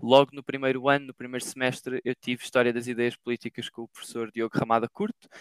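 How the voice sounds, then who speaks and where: With hardly any pauses, a man talks very fast at a medium pitch with fairly even intonation and big swings in loudness, the sound dry and close with no echo. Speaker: master's student. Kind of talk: casual interview. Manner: hesitant, many fillers.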